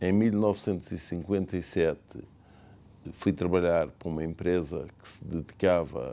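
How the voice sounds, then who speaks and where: At a moderate pace, a man with a very deep, low pitch and a dark, mellow tone speaks with ordinary pitch variation and big swings in loudness. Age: 70s. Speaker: business owner. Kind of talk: interview testimony.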